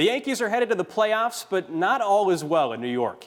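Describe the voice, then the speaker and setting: A man with an ordinary speaking voice talks at a fairly quick pace with lively intonation. The recording is very clean, with a silent background. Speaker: sports broadcaster. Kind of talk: studio sports news anchoring.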